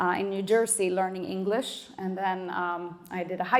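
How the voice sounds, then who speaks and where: In a Swedish accent, a woman speaks at a moderate pace with monotone, flat intonation. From Sweden, Stockholm. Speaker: panelist, immigrant community coordinator. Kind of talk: panel discussion.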